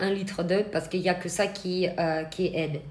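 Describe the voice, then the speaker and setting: A woman at medium pitch, fairly quick and flat in monotone, with audible room echo and noticeable background noise. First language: not French (speaking French). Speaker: eyelash extension trainer. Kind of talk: live stream Q&A tutorial. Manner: hesitant, with fillers.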